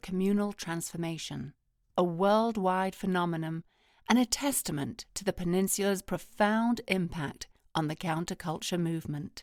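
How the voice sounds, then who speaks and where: The recording is very clean, with a silent background. It carries a normal speaking voice at a moderate pace. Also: woman. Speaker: voice-over artist. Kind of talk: museum audio guide narration.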